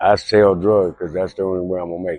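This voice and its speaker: Speaking in a monotone with flat intonation, a man with an American accent has a very deep, low pitch. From California (Venice, Los Angeles). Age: 60s. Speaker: homeless man. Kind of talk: street interview.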